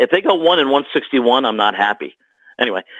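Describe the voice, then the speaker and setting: A man's ordinary speaking voice, an ordinary speaking voice at a fairly high pitch with lively intonation. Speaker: hockey arena PA announcer. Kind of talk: casual conversational podcast guest telling stories.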